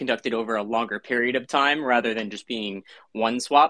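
A medium-pitched man at a moderate pace, bright and sharp in tone, fairly even in intonation, recorded dry and close with no echo. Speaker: co-host. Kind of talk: casual chat.

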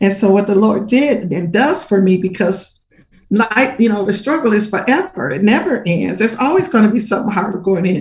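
A woman with a medium-pitched, somewhat breathy voice speaks at a fairly quick pace with lively intonation. Her loudness swings a lot. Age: 60s. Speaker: minister. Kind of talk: testimony.

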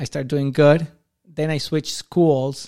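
Here a man speaks with a strong Argentine accent at a fairly slow pace. His tone is dark and mellow. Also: dry, close sound with no echo. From Argentina. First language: Spanish. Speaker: amateur soccer goalkeeper. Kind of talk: casual chat.

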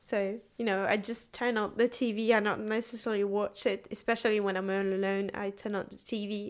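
A woman in a French accent at a moderate pace and medium pitch, monotone and flat, with hardly any pauses, on a very clean recording with a silent background. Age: 20s. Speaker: university student. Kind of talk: casual interview.

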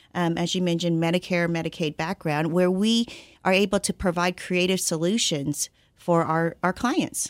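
An unremarkable speaking voice from a woman, medium in pitch, at a fairly slow pace, with a dry, close sound and no echo. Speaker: insurance client services director. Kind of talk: radio interview, informational discussion.

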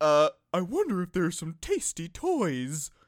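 Put-on character voice, middle pitch, fairly slow pace. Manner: cute, eager.

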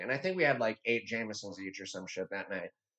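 A man's animated voice with very wide pitch swings at a very fast pace. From rural small town. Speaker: podcast co-host. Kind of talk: casual chat.

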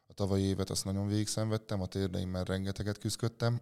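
On a very clean recording with a silent background, a man speaks at a very fast pace in a fairly low pitch. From Hungary, Veszprém county (village of Rédé). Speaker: weightlifter. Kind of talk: interview. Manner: hesitant, with fillers.

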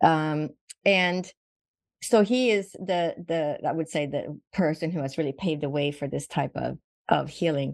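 A woman speaks with a Swedish accent in a very deep, low pitch and ordinary pitch variation. Her pace is fairly slow, and the background is quiet. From Sweden. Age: 60s. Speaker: physician. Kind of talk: interview.

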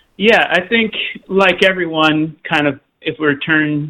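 This man's fairly high voice has a bright, sharp tone and fairly even intonation. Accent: American. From Oklahoma. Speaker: outdoor conservation club staff. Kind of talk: radio interview.

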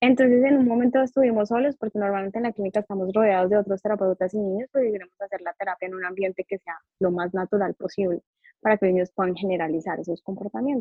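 This woman speaks at a very fast pace with a medium pitch. Her pitch varies in an ordinary way. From Colombia. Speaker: psychologist. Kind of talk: interview.

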